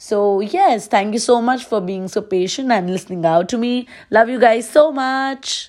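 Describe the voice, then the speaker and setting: Here a woman speaks in an ordinary speaking voice with lively intonation and a fairly high pitch. Her pace is moderate, and the recording is very clean with a silent background. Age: 20s. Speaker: podcast host. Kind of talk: casual monologue.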